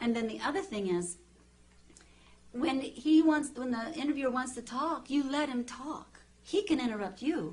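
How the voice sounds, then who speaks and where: A woman speaks loudly at a high pitch, her voice making very wide pitch swings. Room echo can be heard in the recording. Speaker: TV journalist and author. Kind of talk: interview. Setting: TV studio. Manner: fast.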